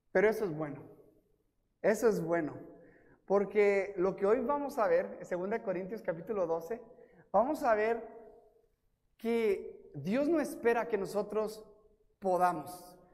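A man talks in a high pitch at a very slow pace, leaving long, frequent pauses. His intonation is lively, and room echo is audible. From US-Mexico border, El Paso and Ciudad Juárez. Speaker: guest preacher. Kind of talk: sermon. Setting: church.

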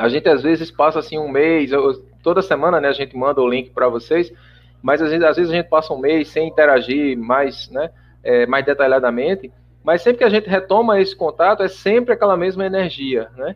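Using a normal speaking voice, a man talks at a fairly quick pace with lively intonation and a fairly high pitch. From Brazil, Paraíba (João Pessoa). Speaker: spiritist radio program producer. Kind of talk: casual interview chat.

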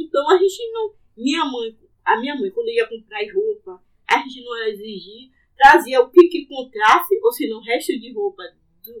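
A woman's extremely high voice swings very widely in pitch at a moderate pace. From Salvador, Bahia, Brazil (Plataforma). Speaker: local resident sharing memories. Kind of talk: conversational interview, reminiscing.

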